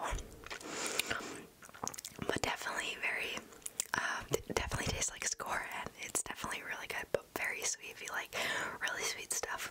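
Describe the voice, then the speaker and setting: Whispering and soft-spoken, a woman talks at a fairly quick pace over loud background noise. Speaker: ASMR creator. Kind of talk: casual eating review chat. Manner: soft ASMR whisper close to mic. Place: home room. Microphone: studio mic.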